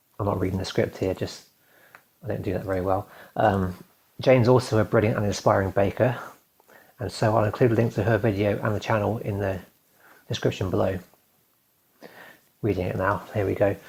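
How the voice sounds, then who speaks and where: A man talks at a fairly quick pace with fairly even intonation, broken by long, frequent pauses. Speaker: video blogger. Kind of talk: reading aloud. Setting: recording to camera. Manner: fast; nervous.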